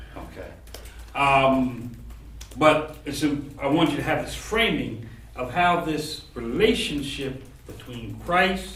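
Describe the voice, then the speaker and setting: Very slow speech with big swings in loudness, amid noticeable background noise and audible room echo. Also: man. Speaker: seminary professor. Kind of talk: lecture. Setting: classroom.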